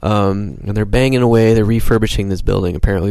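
With noticeable background noise, a man with an American accent and a fairly low pitch talks at a fairly quick pace. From upstate New York, Syracuse. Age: 30s. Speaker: stand-up comedian. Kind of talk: casual chat.

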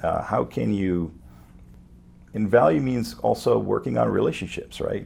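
A man with a very deep, low pitch and vocal fry speaks at a moderate pace with very wide pitch swings. His speech has long, frequent pauses. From France (Paris), Lebanese-born. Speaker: wealth management entrepreneur. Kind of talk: interview.

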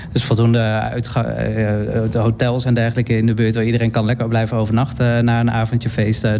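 Over noticeable background noise, a man talks at a fairly quick pace and medium pitch. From Netherlands, Utrecht. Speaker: event organiser and drag performer. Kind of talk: radio interview. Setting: studio. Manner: hesitant, many fillers.

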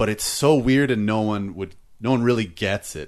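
Against a quiet background, a man with an ordinary speaking voice talks at a fairly quick pace, fairly low in pitch with ordinary variation. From Canada. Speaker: comedian. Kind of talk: casual chat.

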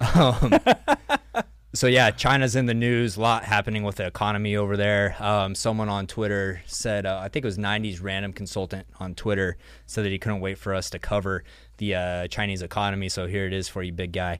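On a very clean recording with a silent background, a man with a Texan accent talks at a fairly quick pace and fairly low pitch, his intonation fairly even. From Texas. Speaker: energy show host. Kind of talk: casual live-stream chat. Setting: studio, live stream.

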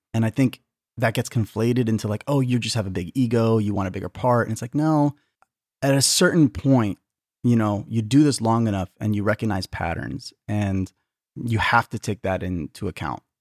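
An unremarkable speaking voice from a man at medium pitch, with ordinary pitch variation, a moderate pace, and a dry, close sound with no echo. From Arizona, US (Tucson). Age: 30s. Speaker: author and theater artist. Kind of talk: interview. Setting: video call.

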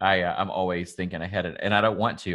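Over a quiet background, a man with a Southern US accent and a very deep, low pitch talks at a very fast pace with fairly even intonation, the sound dry and close with no echo. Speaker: salon owner and podcast host. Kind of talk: casual podcast conversation.

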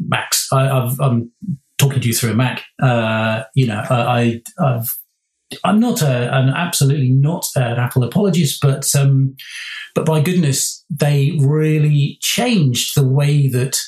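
A man's somewhat breathy, fairly high voice at a fairly slow pace with very even loudness. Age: 50s. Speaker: product designer. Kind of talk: casual chat. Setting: remote call. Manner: halting.

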